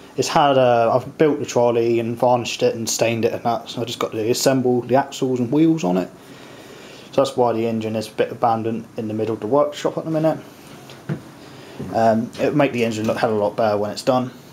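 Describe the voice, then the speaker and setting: Light background noise runs under this recording. A man talks very fast with fairly even intonation. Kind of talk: casual vlog chat. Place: workshop. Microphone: phone near.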